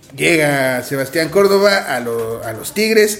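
A man's high-pitched voice at a very slow pace with lively intonation, audible room echo and noticeable background noise. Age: 20s. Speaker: podcast co-host. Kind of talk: casual chat.

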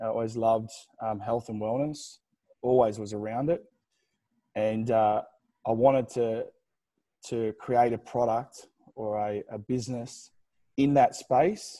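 In a very clean recording with a silent background, a man with an Australian accent speaks at a medium pitch and fairly slow pace, his dark, mellow tone and fairly even intonation broken by long, frequent pauses. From Australia, New South Wales. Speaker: gym founder and CEO. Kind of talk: interview.

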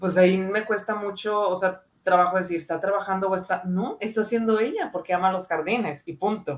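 Speaking at a moderate pace, a woman with medium pitch and ordinary pitch variation has an ordinary speaking voice. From Monterrey, northern Mexico. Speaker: psychologist. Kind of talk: casual chat.

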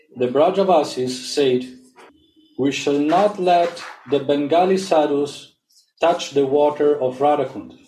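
With music in the background, a man speaks at a fairly slow pace and a fairly high pitch. His loudness stays very even, and his pitch variation is ordinary. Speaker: reader and discussion leader. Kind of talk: reading aloud and group discussion.

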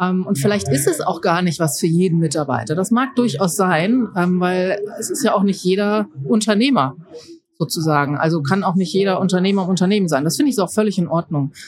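A woman speaks in an ordinary speaking voice. Her pitch is medium and her pace fairly quick. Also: lively intonation. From Rhineland, Germany (Mönchengladbach). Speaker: leadership and innovation consultant. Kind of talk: interview.

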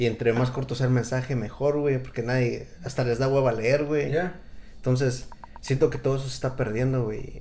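Over noticeable background noise and audible room echo, a man with a Mexican accent talks fairly quickly at a medium pitch in a monotone, flat intonation. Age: 30s. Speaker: podcast host. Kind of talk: casual chat.

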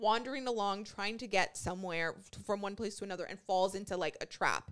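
A woman's bright, sharp, animated voice, fairly high and fairly quick, with ordinary pitch variation. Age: 30s. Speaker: podcast co-host. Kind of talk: casual chat.

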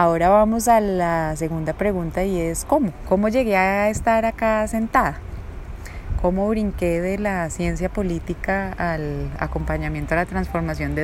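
Amid noticeable background noise and audible room echo, a woman speaks fairly slowly in a fairly low voice with ordinary pitch variation. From Colombia, raised in Bogotá (born Bucaramanga). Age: 40s. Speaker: life coach and podcast host. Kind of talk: personal monologue. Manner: hesitant, many fillers.

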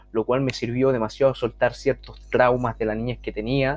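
He speaks at a medium pitch in a normal speaking voice. The man's intonation is fairly even, his pace fairly quick. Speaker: podcast host and social skills coach. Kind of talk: casual monologue.

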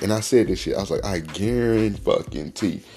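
Speaking at a fairly quick pace, a man with a very deep, low pitch and vocal fry delivers his words in an animated tone. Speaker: podcast host, cannabis talk. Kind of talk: casual rant, monologue. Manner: casual, profane, animated.

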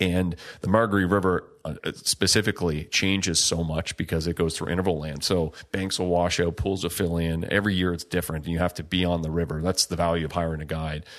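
The delivery is very fast and monotone, with flat intonation. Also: man, very deep, low pitch for a man, hardly any pauses, very clean recording, silent background. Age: 30s. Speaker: podcast host and paddling outfitter. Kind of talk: casual chat.

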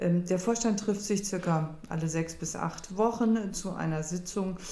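Somewhat breathy and dark, mellow in tone, a woman speaks at a fairly slow pace with fairly even intonation in a room with audible echo. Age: 50s. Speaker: charity board member and parent. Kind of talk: interview.

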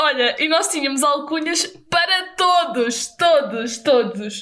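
A woman's lively intonation comes through against noticeable background noise. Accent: European Portuguese. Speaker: podcast co-host. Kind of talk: casual chat.

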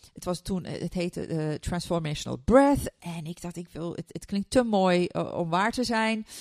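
A woman's fairly low voice at a moderate pace with hardly any pauses, dry and close with no echo, on a very clean recording with a silent background. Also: ordinary pitch variation, big swings in loudness. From Turkey. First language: Turkish (speaking Dutch). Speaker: neuroscientist and coach. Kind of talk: interview. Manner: halting.

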